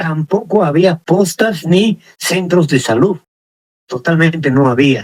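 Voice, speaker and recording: Speaking very slowly, a man uses a high pitch with ordinary pitch variation and very even loudness. The sound is dry and close with no echo. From Peru, Sicuani, Cusco region (Andes). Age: 70s. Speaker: interviewee. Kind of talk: interview.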